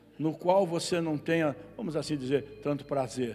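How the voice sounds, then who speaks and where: An animated voice comes through over noticeable background noise, with audible room echo. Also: man. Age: 70s. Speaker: pastor. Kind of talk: sermon.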